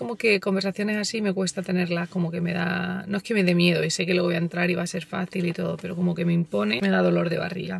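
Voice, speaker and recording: Words come out very fast from this woman. Her voice sits fairly low. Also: ordinary pitch variation, dry sound with no echo. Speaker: vlogger. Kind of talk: casual vlog chat. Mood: nervous about meeting contractor. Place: car. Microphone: phone near.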